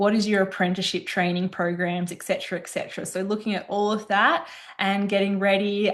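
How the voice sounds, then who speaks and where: A woman with an Australian accent speaks at a moderate pace in a medium pitch. Her intonation is monotone and flat, over a quiet background. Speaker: business consultant. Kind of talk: podcast interview.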